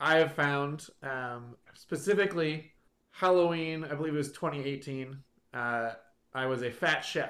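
This man has an unremarkable speaking voice, fairly high in pitch with ordinary variation, and he speaks at a fairly slow pace. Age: 30s. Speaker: podcast host. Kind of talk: casual chat. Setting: home recording, faulty microphone.

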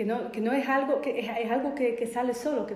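With a Polish accent and a fairly high pitch, a woman speaks amid noticeable background noise and audible room echo. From Poland. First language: Polish (speaking Spanish). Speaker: biodecoding therapist. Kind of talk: casual chat. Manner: halting.

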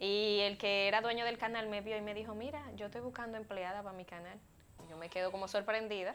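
Fairly even in intonation, a woman talks at a very fast pace. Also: medium pitch for a woman, big swings in loudness. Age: 20s. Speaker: model and communicator, former beauty queen. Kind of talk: casual chat.

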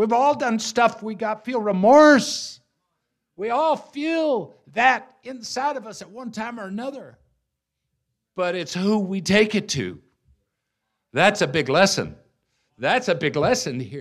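In a very clean recording with a silent background, a high-pitched man speaks at a fairly slow pace with long, frequent pauses, very wide pitch swings and big swings in loudness. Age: 60s. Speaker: guest preacher. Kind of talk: sermon.

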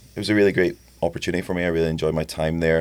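A man with a very deep, low pitch. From Scotland, Edinburgh. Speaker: youth soccer coach. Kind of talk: casual chat. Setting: studio.

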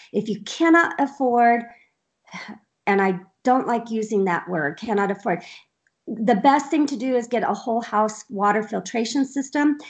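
A woman's fairly high voice with lively intonation at a moderate pace, long and frequent pauses, and a quiet background. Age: 50s. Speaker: health and wellness advocate. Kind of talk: casual chat. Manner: animated.

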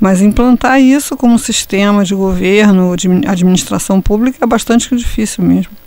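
A woman talks at a moderate pace with hardly any pauses and very even loudness. Her medium-pitched voice has a dark, mellow tone and ordinary pitch variation. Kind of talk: casual discussion. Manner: halting.

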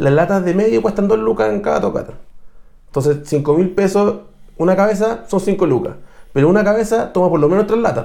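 Lively in intonation yet very even in loudness, a man talks at a fairly quick pace with a high pitch and a dark, mellow tone. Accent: Chilean. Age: 30s. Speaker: metal musician. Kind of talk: casual chat.

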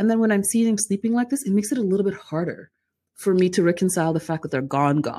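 The woman speaks at a medium pitch in a dark, mellow tone. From Sudan, raised in Calgary, Canada from age nine. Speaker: community worker. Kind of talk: casual interview. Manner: fast, rambling.

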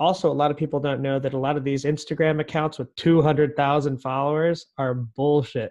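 Someone with an American accent talks at a moderate pace in a monotone, flat delivery with hardly any pauses. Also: man, fairly high pitch for a man, quiet background. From US West, northern California. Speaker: entrepreneur, real estate agent. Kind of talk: casual interview chat. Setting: remote call with headphones.

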